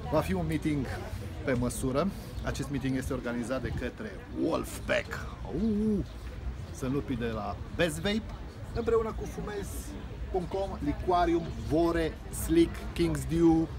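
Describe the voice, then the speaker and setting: With clear music in the background, a man speaks at a very slow pace, leaving long, frequent pauses. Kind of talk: casual vlog promo. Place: street. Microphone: phone near.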